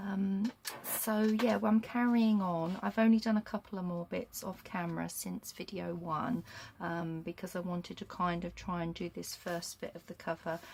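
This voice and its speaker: A soft-spoken, somewhat breathy woman with a British accent, fairly low in pitch, with ordinary pitch variation at a moderate pace. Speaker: crafting YouTuber. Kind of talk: casual crafting vlog. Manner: hesitant, many ums.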